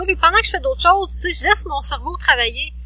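A woman rattles off her words very quickly while noticeable background noise carries on. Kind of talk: casual chat.

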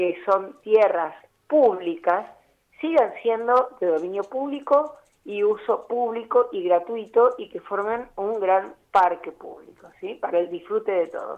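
In a plain, everyday voice, a woman with fairly high pitch speaks fairly slowly, her intonation lively and her loudness swinging widely. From Buenos Aires, Argentina. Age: 60s. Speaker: architect and urban planner. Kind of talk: radio interview.

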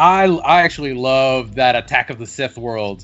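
A man speaks at a medium pitch with ordinary pitch variation. It is an ordinary speaking voice. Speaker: podcast co-host. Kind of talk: casual chat.

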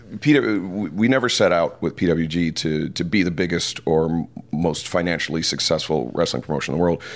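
Music in the background behind a man's very deep, low voice, fairly slow in pace, with ordinary pitch variation. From Detroit, US Midwest. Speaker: wrestling commentator. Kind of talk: interview conversation. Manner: halting, many fillers.

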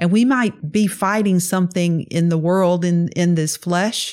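A woman's fairly low voice with a Southern US accent, very slow pace, and a very clean recording over a silent background. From US South, Mississippi. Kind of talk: testimony.

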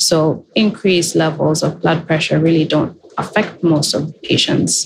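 Amid noticeable background noise, a woman talks in a fairly low pitch. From Kenya. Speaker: healthcare technology executive. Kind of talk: interview.

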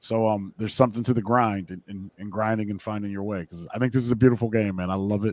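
A man talks very fast in a fairly low voice with an American accent. The recording is very clean, with a silent background. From US Midwest (Akron, Ohio). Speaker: baseball broadcaster. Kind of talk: casual chat.

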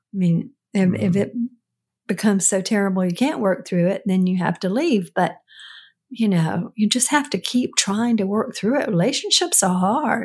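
In a very clean recording with a silent background, the somewhat breathy voice moves at a moderate pace with ordinary pitch variation and very even loudness. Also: woman, medium pitch for a woman. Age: 70s. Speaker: podcast co-host, host's mother. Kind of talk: casual chat.

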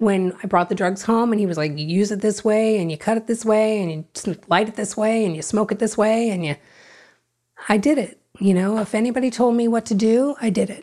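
Against a very clean, silent background, a woman with an American accent speaks quite fast in a fairly high, dark and mellow voice with ordinary pitch variation. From South Florida. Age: 50s. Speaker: recovering addict. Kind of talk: testimony.

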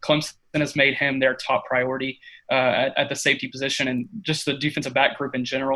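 With a Texan accent and a bright, sharp tone, a man rattles along at a very fast pace in a monotone, flat intonation at medium pitch. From East Texas (Tyler). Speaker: college football recruiting analyst. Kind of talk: interview.

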